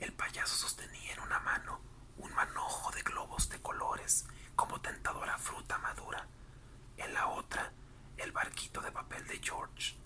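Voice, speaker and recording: Someone is whispering at a fairly slow pace. Noticeable background noise runs underneath. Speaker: ASMR narrator reading a book aloud. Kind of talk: whispered audiobook-style reading for sleep/relaxation. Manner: whispered, soft-spoken.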